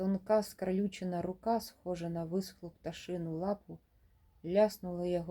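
Using an unforced reading voice, the speaker keeps a fairly even intonation.

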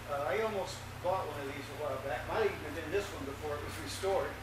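A man talks at a very fast pace in a high pitch. Audible room echo and noticeable background noise are present. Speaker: presenter. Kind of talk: lecture. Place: hall. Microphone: camera far.

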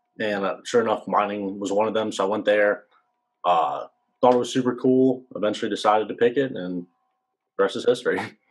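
In an American accent and a plain, everyday voice, a man speaks fairly low-pitched at a fairly quick pace with fairly even intonation. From Virginia. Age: 20s. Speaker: undergraduate mining engineering student. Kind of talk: Q&A panel at a virtual open house. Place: home room. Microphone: video call.

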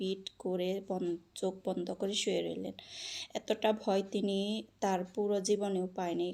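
The clip features a natural reading voice.

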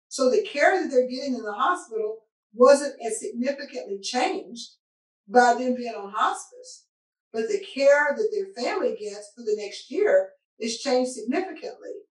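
A woman talks at a moderate pace in a high pitch, with very wide pitch swings and big swings in loudness. The background is quiet, though audible room echo comes through. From Arkansas (Searcy); Arkansas. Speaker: physician; panelist. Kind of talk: panel discussion. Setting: video call. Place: office.

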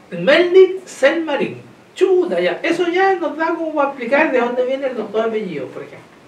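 Audible room echo surrounds a man's voice. His pitch is high, and his pace is moderate. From Chile. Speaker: community TV host; interviewer host. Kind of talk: interview. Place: studio.

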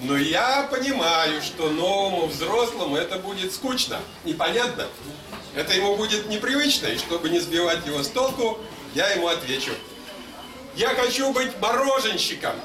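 A man's raised, projected, high voice at a moderate pace, with very wide pitch swings, long, frequent pauses and noticeable background noise. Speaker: literary reader and musician. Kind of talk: short story reading aloud. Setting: live public reading event. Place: hall. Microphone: camera far.

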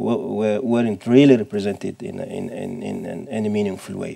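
A man with a dark, mellow tone and an Arabic accent, at a moderate pace with ordinary pitch variation, over a quiet background. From Sudan. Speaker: professor. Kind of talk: panel discussion. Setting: seminar with audience. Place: studio.

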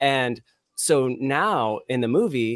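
Against a quiet background, a man with an American accent speaks with fairly even intonation in a dry sound with no echo. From California, Bay Area (Vacaville); California. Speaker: filmmaker, director and editor; guest. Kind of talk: casual chat. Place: home room. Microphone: studio mic.

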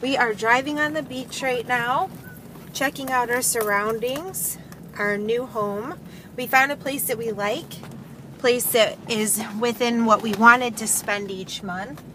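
A woman talks at a fairly slow pace with ordinary pitch variation. The sound is dry with no echo, and background noise is noticeable. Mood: excited, cheerful. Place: car. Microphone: phone near.

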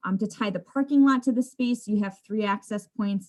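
Her intonation fairly even, a woman speaks at a fairly quick pace in a somewhat breathy voice. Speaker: landscape designer. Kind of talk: presentation. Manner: fast.

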